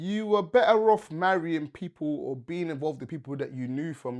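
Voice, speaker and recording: A man with a London accent speaks with lively intonation in a very clean recording with a silent background. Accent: London English, multicultural London. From London, England (British Nigerian). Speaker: podcast host. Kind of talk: casual podcast chat.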